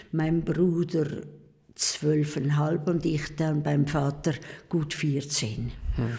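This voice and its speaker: A woman speaks very slowly with long, frequent pauses, her very deep, low voice dark, mellow and somewhat breathy. Her intonation is monotone and flat, her loudness very even, and the room echo is audible. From eastern Switzerland (Pfäfers, St. Gallen). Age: 80s+. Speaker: nun. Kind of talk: casual interview. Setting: convent.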